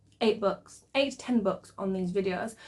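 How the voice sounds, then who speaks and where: Delivered at a fairly quick pace, the speech sits over noticeable background noise. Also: woman. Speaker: book youtuber. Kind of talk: casual vlog chat.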